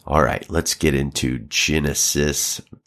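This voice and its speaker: In a Southern US accent, a man speaks with vocal fry. The recording is very clean, the background silent. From Alabama, US South. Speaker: pastor and podcast host. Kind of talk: Bible reading and teaching commentary.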